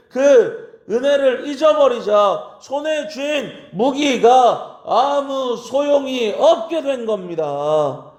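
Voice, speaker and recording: There is audible room echo as a man speaks at an extremely high pitch with ordinary pitch variation. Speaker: pastor. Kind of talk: sermon.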